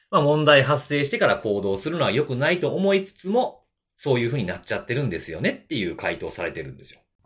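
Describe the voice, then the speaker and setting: A man talks very fast at a fairly high pitch, with very wide pitch swings, big jumps in loudness, and vocal fry. The recording is very clean, with a silent background. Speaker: security podcast host. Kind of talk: casual chat.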